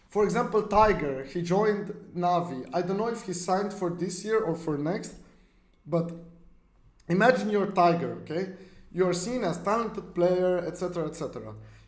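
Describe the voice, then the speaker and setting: A man with a high pitch at a moderate pace, with audible room echo. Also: ordinary pitch variation. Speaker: esports streamer. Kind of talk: live stream chat. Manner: intense, sounds mad.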